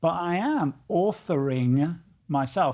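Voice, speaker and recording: The recording is very clean, and the background is silent. In it, a man talks at a fairly high pitch. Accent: British. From United Kingdom. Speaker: coach and author. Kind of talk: casual conversation.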